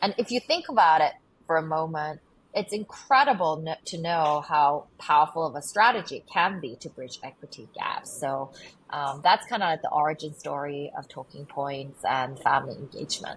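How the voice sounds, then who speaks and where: In a very clean recording with a silent background, a woman with a very deep, low pitch speaks at a moderate pace, somewhat breathy, with lively intonation and big swings in loudness. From England, moved from Korea at age eight. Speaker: nonprofit founder and CEO. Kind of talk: interview.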